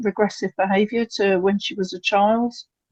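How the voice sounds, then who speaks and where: In an English accent, a woman of medium pitch speaks at a moderate pace with fairly even intonation against a quiet background. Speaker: parent of a patient, webinar attendee. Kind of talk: Q&A question at a webinar. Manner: halting, many fillers.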